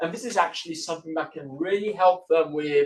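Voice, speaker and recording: A man with an Italian accent speaks in a high voice. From Italy. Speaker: university lecturer. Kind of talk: lecture. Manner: hesitant with fillers and repeats.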